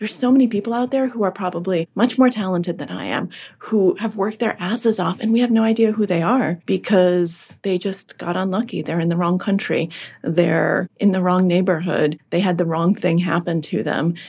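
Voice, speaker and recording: Somewhat breathy speech with a General American accent, a fairly quick pace and ordinary pitch variation, on a very clean recording with a silent background. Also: woman, medium pitch for a woman. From Massachusetts (Boston suburbs), born in Russia. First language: Russian. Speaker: author and podcaster. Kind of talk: casual interview chat.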